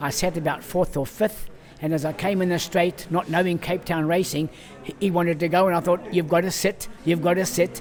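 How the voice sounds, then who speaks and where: A high-pitched man at a fairly quick pace, with noticeable background noise. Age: 70s. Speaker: retired jockey and boot maker. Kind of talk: interview storytelling. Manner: animated.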